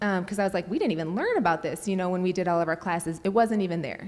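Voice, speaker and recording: This woman's intonation is lively. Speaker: nurse sharing personal testimony. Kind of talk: testimony. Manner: fast.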